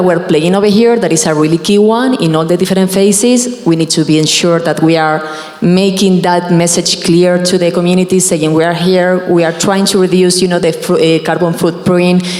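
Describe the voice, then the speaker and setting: Speaking with hardly any pauses, a woman keeps a fairly low pitch, very even loudness and fairly even intonation while noticeable background noise runs underneath. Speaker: solar energy panelist. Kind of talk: panel discussion. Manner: fast.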